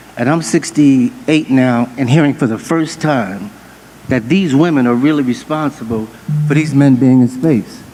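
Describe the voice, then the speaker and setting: Moderate pace and ordinary pitch variation, over noticeable background noise. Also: man. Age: 60s. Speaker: church leader. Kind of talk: town hall panel remarks.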